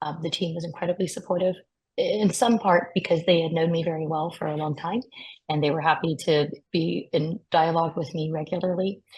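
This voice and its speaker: A somewhat breathy woman with an American accent and a fairly low pitch, fairly even intonation, a fairly quick pace and a quiet background. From US. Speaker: patient advocate. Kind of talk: webinar testimony.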